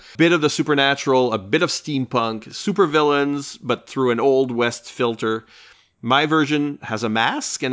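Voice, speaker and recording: A man talks in a plain, everyday voice. His medium pitch carries ordinary pitch variation at a moderate pace. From French Canada. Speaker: podcast host. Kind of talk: casual chat.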